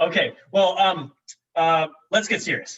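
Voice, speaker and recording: Loud male voice with a bright, sharp tone. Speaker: company video show host. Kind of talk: casual company video show. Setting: office conference room. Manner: animated.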